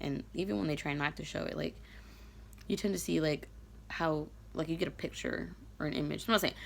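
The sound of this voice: A raspy voice with vocal fry speaks at a fairly quick pace, its intonation fairly even. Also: woman.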